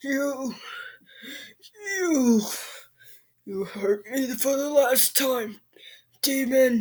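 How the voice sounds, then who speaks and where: A put-on character voice speaks at a high pitch and a very slow pace. Long pauses come often. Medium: read story. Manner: yelling, furious.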